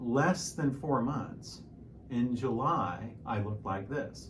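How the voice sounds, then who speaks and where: Over noticeable background noise and audible room echo, a man with a medium pitch speaks at a fairly slow pace. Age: 60s. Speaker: piano teacher and fitness vlogger. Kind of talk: casual vlog monologue. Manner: hesitant, repeats words.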